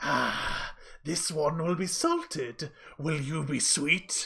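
A put-on character voice cackles at a middle pitch and a very slow pace over light background noise. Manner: cackling, menacing, sweetly mocking.

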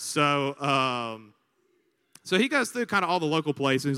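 Speaking with an Alabama accent, a man sounds animated, with a bright, sharp tone and fairly high pitch. The recording is very clean with a silent background and a dry, close sound with no echo. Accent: Southern US (Alabama). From US South, Montgomery, Alabama. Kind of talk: sermon-style talk to students. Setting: stage with audience on a campus, microphone.

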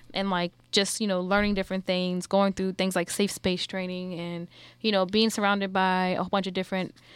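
A woman speaks fairly quickly at a medium pitch, her intonation monotone and flat, on a very clean recording with a silent background. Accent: New Orleans. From New Orleans. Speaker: podcast host.

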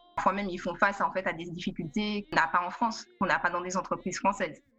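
Over music in the background, a woman talks at a medium pitch with ordinary pitch variation. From Martinique. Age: 20s. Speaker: IT project manager. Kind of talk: webinar interview.

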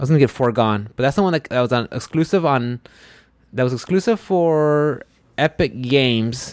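A man with a medium pitch speaks at a moderate pace with lively intonation. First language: Spanish. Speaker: podcast host. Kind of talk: casual chat. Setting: studio.

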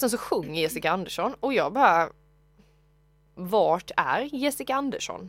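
A woman's voice with very wide pitch swings. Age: 20s. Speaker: podcast co-host. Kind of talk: casual chat.

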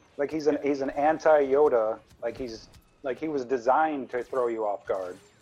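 At a moderate pace, a normal speaking voice carries ordinary pitch variation. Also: man, medium pitch for a man. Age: 40s. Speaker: underground film screening organizer. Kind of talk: casual chat.

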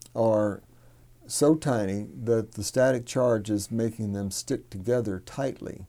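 A man's medium-pitched voice with a dark, mellow tone and a Texan accent, very slow in pace with ordinary pitch variation, on a very clean recording with a silent background. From Texas, Hallettsville. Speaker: soil business owner. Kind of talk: interview. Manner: halting, many fillers.

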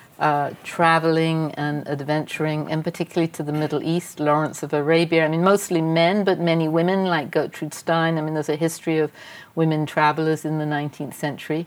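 In a very deep, low voice, a woman talks at a fairly quick pace in a flat monotone with hardly any pauses. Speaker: philanthropy executive. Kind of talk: public interview before audience. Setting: stage with audience. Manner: long-winded answers.

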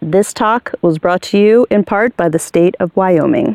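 A booming, put-on character voice that sounds female, medium in pitch and moderate in pace. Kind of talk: broadcast announcer. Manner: booming, polished.

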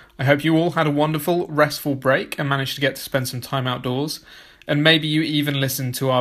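A man with an unremarkable speaking voice, fairly high and fairly even in intonation, is heard on a very clean recording with a silent background. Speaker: podcast host. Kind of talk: interview intro and conversation.

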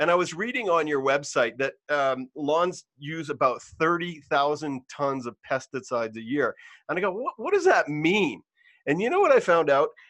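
Against a quiet background, a man speaks in a normal speaking voice at a moderate pace and fairly high pitch, with lively intonation and a dry, close sound with no echo. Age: 50s. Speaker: podcast host. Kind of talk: casual interview.

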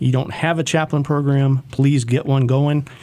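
A man talks at a moderate pace, with noticeable background noise present. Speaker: police chaplain. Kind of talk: radio interview. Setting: studio.

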